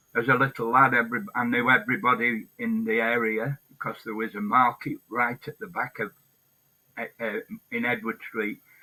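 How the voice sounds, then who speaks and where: A man talks with a Lancashire accent and fairly even intonation. The sound is dry and close, with no echo. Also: medium pitch for a man, moderate pace. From northern England, Blackpool, Lancashire. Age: 70s. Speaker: hunger striker and protester. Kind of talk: interview. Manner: halting.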